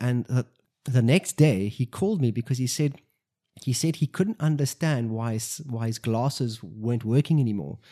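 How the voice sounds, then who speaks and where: With a dark, mellow tone and lively intonation, the voice sounds dry and close with no echo in a very clean recording with a silent background. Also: man. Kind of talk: testimony. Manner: rambling, hesitant with fillers.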